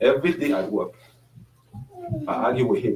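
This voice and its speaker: Moderate pace over noticeable background noise. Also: man. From French-speaking Africa. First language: French. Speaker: panelist. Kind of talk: panel discussion. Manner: halting.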